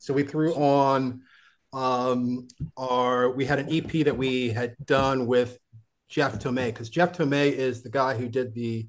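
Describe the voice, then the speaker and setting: A man's ordinary speaking voice at a medium pitch and a fairly slow pace. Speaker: musician. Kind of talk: casual chat. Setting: video call.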